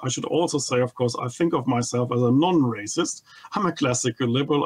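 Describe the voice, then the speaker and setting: A man with a German accent talks at a fairly quick pace. His pitch is fairly high, with ordinary variation. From Germany. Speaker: economist, think tank head. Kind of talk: TV interview. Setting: remote video link. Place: home room. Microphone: studio mic.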